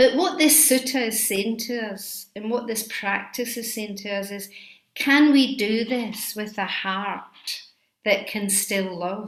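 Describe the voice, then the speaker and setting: A woman with a Scottish accent and a fairly high pitch, at a very slow pace, with ordinary pitch variation and big swings in loudness. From Scotland. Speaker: Buddhist teacher. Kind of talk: dharma talk.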